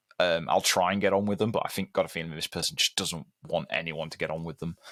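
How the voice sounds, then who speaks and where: A man talks at a very fast pace with a British accent, very deep, low pitch and ordinary pitch variation. The recording is very clean with a silent background and a dry, close sound with no echo. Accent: British, very un-American. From Britain. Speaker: metal guitarist. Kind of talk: podcast interview.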